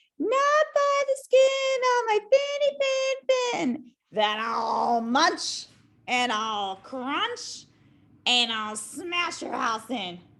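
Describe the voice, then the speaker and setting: A woman uses a put-on character voice at an extremely high pitch. She speaks very slowly, with very wide swings in pitch. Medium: read story.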